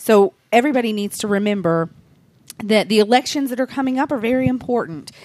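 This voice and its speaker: Talking very fast with lively intonation, a woman with a fairly high pitch speaks in an American accent. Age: 40s. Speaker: fan club organizer. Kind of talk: casual chat.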